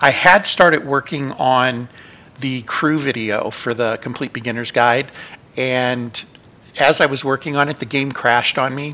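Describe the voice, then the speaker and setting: The speaker keeps a moderate pace and fairly even intonation. Noticeable background noise runs underneath. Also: man, medium pitch for a man. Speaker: gaming YouTuber. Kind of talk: casual vlog update.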